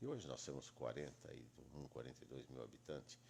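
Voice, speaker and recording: This man's voice is very deep and low, with vocal fry. He talks at a fairly quick pace with lively intonation. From Brazil, Itápolis, São Paulo state. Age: 70s. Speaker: lawyer. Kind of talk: interview.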